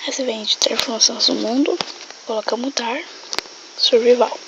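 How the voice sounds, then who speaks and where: Against noticeable background noise, the words come at a fairly quick pace. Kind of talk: casual game tutorial.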